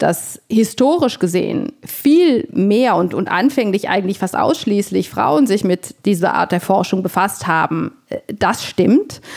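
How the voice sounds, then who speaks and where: Her intonation lively and her pitch medium, a woman speaks at a very slow pace with hardly any pauses. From Italy. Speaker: medical professor. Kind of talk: interview. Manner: halting.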